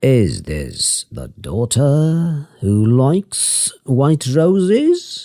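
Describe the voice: A gruff, put-on character voice creeps along at a very slow pace. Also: man, fairly high pitch for a man.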